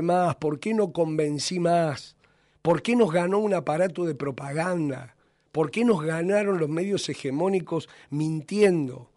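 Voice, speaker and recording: Speaking fairly slowly in an Argentine accent, a man with a high pitch shows ordinary pitch variation. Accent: Argentine Spanish (Rioplatense). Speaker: radio host. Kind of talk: radio editorial monologue. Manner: impassioned.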